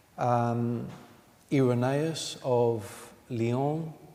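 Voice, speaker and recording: Noticeable background noise behind a man's voice of medium pitch. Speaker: Orthodox priest giving a sermon. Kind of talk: sermon / homily in church. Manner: measured, explanatory, with filler 'um'.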